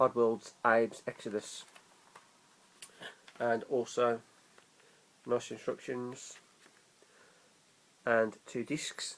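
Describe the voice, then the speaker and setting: Speaking with an English accent, a man keeps a medium pitch and a monotone, flat intonation. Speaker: gaming YouTuber. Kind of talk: casual vlog. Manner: slurred.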